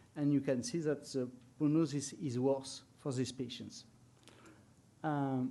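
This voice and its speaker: A man's flat, monotone voice with a dark, mellow tone moves at a fairly slow pace with long, frequent pauses, and room echo is audible. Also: fairly high pitch for a man. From France. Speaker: medical researcher. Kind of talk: conference talk. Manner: hesitant, many fillers.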